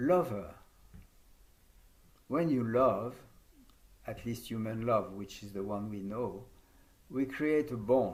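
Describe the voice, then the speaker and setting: A man with a French accent speaks at a very slow pace and a medium pitch, with ordinary pitch variation. His loudness swings widely, long pauses come often, and audible room echo is present. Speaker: yoga teacher trainer. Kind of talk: conference talk.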